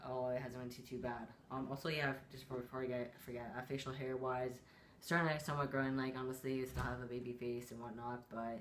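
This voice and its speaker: With monotone, flat intonation, a man talks at a very fast pace amid noticeable background noise and audible room echo. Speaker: vlogger. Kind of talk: casual chat.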